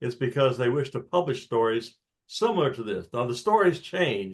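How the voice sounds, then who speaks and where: Lively intonation marks this man's somewhat breathy voice at a medium pitch. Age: 70s. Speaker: audience member asking a question. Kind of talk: Q&A discussion.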